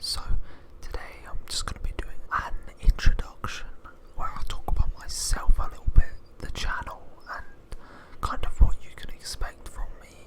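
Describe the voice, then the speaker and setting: Someone whispers in a relaxed tone at a moderate pace, with long, frequent pauses. Background noise is noticeable. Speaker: ASMR YouTuber, gamer. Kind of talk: casual talk to camera, ASMR intro. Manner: whispered, close, relaxed.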